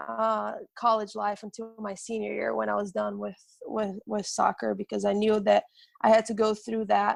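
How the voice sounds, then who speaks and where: A woman with a Portuguese accent, at a moderate pace. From Brazil. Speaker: soccer coach. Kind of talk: interview testimony. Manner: halting, many fillers and repetitions.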